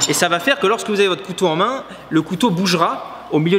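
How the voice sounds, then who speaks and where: A man's high-pitched, very fast speech against noticeable background noise. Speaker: knife thrower, video creator. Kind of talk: reaction video commentary.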